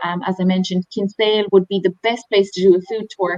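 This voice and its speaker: A woman speaks with an Irish accent. The sound is dry and close, with no echo. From Ireland. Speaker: tour operator. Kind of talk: webinar presentation.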